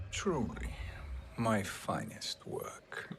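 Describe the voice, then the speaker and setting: There is light background noise as a man speaks in a put-on character voice. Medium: video game. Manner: cold, calculating.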